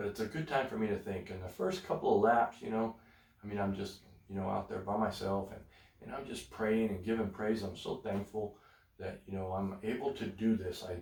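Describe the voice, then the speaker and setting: Speaking at a fairly quick pace, a man with a fairly low, somewhat breathy voice comes through. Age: 60s. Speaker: gospel show co-host. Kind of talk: casual chat. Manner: animated.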